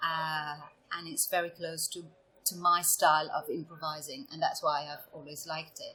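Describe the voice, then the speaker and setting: A woman speaks at a moderate pace in an Italian accent, her pitch fairly low. Her tone is bright and sharp, with ordinary pitch variation. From Italy, Venice region. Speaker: improv performer. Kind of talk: podcast interview. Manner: hesitant, many fillers.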